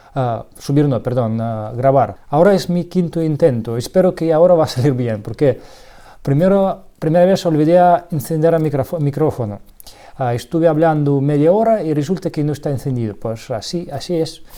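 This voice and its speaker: A man speaks in a Russian accent at a moderate pace. His dark, mellow tone has a fairly high pitch and lively intonation. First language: Russian (speaking Spanish). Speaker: electronics hobbyist youtuber. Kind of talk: tutorial; casual chat. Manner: halting.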